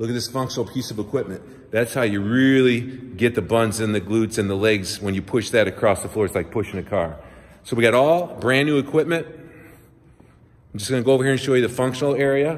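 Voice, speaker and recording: A man talks at a very fast pace, his pitch varying in an ordinary way. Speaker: personal trainer giving a gym tour. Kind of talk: casual promotional walkthrough. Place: gym. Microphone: phone near.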